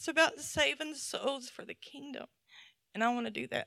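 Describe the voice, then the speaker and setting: A woman's raised, projected voice in a Southern US accent, high-pitched and bright, sharp in tone, at a moderate pace with a dry, close sound and no echo. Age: middle-aged. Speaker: lay speaker at church. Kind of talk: sermon. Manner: animated.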